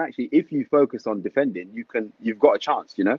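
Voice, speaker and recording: A man with a London accent talks at a very fast pace. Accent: London multicultural English. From London, Tottenham. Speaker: retired footballer and football manager. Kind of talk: casual interview chat. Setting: online livestream call.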